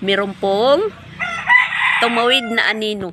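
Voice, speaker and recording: A woman speaks at a moderate pace, with noticeable background noise present throughout. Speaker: vlogger. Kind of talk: casual vlog talk. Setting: outdoors behind the house.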